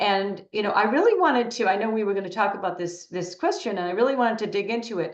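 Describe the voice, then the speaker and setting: A woman talks at a very fast pace with hardly any pauses. Her medium-pitched voice shows ordinary pitch variation. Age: 60s. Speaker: interviewee, women's empowerment speaker. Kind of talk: interview.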